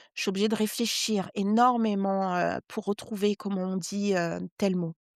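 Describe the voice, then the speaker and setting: A woman speaks at a medium pitch and a fairly slow pace, her intonation flat and monotone, in a dry, close recording with no echo. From Brittany, Guadeloupe and West Africa (mixed childhood). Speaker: journalist and novelist. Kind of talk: interview conversation. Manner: many hesitations (heu, hem); slightly struggles with some words.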